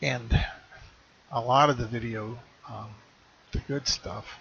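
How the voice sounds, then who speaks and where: Quiet and mumbling, a man talks with fairly even intonation over noticeable background noise. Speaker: online marketer vlogger. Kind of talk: casual vlog talk to camera. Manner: trails off quieter, mumbling; halting, many fillers. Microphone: webcam recording, speaker says too quiet.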